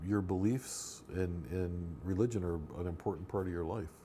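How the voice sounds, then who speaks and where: The man's voice is very deep and low, with a dark, mellow tone. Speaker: oral history interviewer. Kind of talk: interview host questions.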